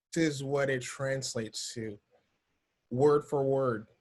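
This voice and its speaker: Somewhat breathy, a man with a fairly high pitch speaks at a fairly slow pace. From Africa. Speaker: entrepreneur and video marketer. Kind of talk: podcast interview. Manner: casual, many fillers.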